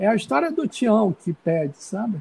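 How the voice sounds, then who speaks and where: A man's very slow speech with very wide pitch swings, dry and close with no echo. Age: 50s. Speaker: visual artist and university professor. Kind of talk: casual interview.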